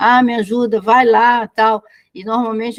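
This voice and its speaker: A woman's plain, everyday voice, fairly high and fairly slow, with a dry, close sound and no echo. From Brazil. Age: 60s. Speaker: business consultant. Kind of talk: casual chat.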